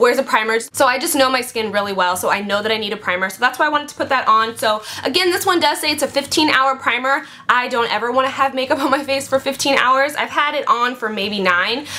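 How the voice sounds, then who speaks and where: A woman speaks in a raised, projected voice at a very fast pace, her pitch high with ordinary variation. Noticeable background noise sits behind her. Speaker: beauty vlogger. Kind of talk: product review vlog. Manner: animated.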